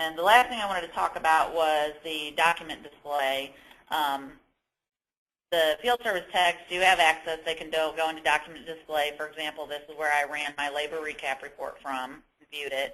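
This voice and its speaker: A woman speaks at a moderate pace in a very deep, low voice with a bright, sharp tone and ordinary pitch variation. Her loudness swings widely. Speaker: software trainer. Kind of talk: webinar training.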